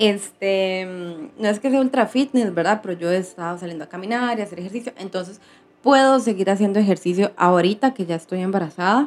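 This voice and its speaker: A woman has an ordinary speaking voice at a medium pitch. She talks at a fairly quick pace with ordinary pitch variation. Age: 30s. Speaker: vlogger. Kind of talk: personal vlog.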